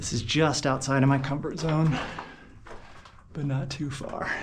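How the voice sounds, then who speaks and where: Fairly slow speech with fairly even intonation and audible room echo. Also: man. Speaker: hiker and mine explorer vlogger. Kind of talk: solo vlog narration while exploring. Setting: inside a mine. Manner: casual, hesitant with fillers.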